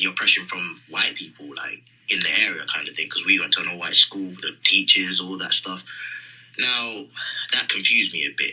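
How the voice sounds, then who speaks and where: A man talks at a moderate tempo with noticeable background noise behind him. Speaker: caller. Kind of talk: testimony. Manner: halting.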